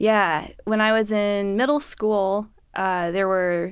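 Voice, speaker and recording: This woman's medium-pitched voice keeps a fairly even intonation. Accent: Californian. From Los Angeles. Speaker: orchestra flutist. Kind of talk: casual interview.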